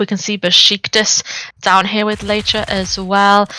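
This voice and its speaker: In a dry, close sound with no echo, a woman speaks at a medium pitch. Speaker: esports caster. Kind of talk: live commentary. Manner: fast; animated.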